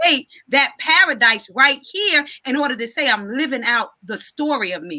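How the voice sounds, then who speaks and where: The voice has an animated tone with very wide pitch swings. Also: woman. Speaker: author. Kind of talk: casual chat. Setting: live video stream. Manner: fast.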